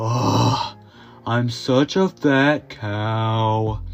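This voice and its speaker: Clear music plays in the background behind a low-pitched, put-on character voice. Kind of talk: exaggerated drawl. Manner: drawn-out, mopey, teasing.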